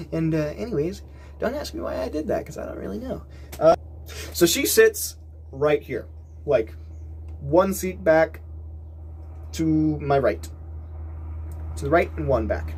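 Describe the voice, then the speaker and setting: A man speaks at a fairly slow pace with long, frequent pauses against noticeable background noise. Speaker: YouTuber telling personal stories. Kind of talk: casual storytelling vlog. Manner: halting.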